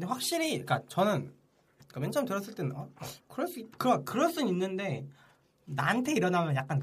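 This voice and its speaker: A man with a high voice races along at a very fast pace, with very wide pitch swings, big swings in loudness and long, frequent pauses. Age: 20s. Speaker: podcast co-host. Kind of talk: casual chat.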